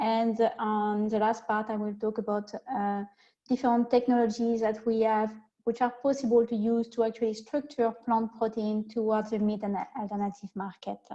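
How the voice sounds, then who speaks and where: Against a quiet background, a woman with a French accent speaks at a fairly high pitch in a dark, mellow tone with monotone, flat intonation. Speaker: protein scientist. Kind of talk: webinar presentation.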